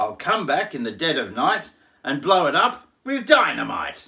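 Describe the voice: A man puts on a character voice with a bright, sharp tone and vocal fry, speaking at a fairly slow pace in a fairly high pitch with very wide pitch swings.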